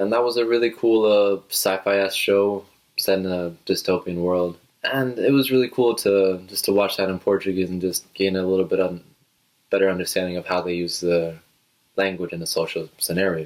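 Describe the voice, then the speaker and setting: With a Spanish accent, a man talks at a fairly quick pace and a fairly low pitch. His intonation stays fairly even. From Puerto Rico. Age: 20s. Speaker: vlogger. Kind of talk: casual talk to camera. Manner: halting, many fillers.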